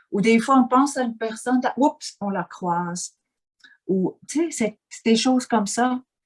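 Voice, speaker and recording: A woman with a Swiss German accent, lively intonation, and a fairly slow pace. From German-speaking Switzerland. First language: Swiss German (speaking French). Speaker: interviewee, life coach. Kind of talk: interview. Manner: halting, with many fillers and repetitions.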